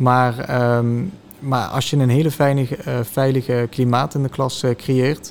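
Fairly even in intonation, a man speaks at a very slow pace. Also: medium pitch for a man. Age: 20s. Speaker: teacher. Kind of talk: interview. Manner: hesitant.

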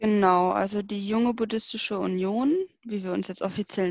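This woman's voice sits at a medium pitch. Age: 20s. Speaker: student volunteer. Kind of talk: interview. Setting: video call.

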